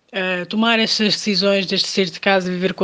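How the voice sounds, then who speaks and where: Against a quiet background, a woman talks fairly slowly at medium pitch with monotone, flat intonation. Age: young.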